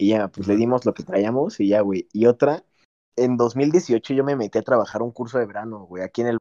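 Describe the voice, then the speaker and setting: At a fairly quick pace, a man speaks in a dark, mellow tone at a medium pitch with ordinary pitch variation. The sound is dry and close with no echo. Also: quiet background. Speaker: podcast panelist. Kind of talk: casual chat.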